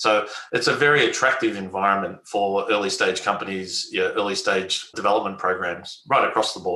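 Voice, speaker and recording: With an Australian accent, a man talks at a fairly quick pace with hardly any pauses and very even loudness, with audible room echo. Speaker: biotech company executive. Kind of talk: interview.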